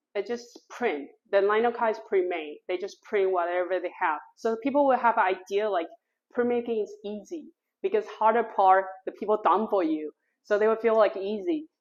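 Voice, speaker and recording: A woman speaks in a Taiwanese accent at a fairly high pitch. Her pace is moderate and her intonation lively. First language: Mandarin Chinese. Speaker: printmaker and studio owner. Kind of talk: artist talk. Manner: halting, non-native phrasing.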